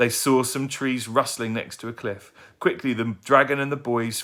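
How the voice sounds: Fairly even intonation in a natural reading voice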